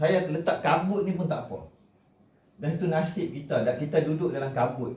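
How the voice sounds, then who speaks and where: Speaking at a fairly quick pace and a fairly high pitch, a man is heard with audible room echo. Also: ordinary pitch variation. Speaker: cultural commentator, vlogger. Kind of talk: monologue to camera on Malay language and heritage. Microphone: no microphone, camera only, short distance.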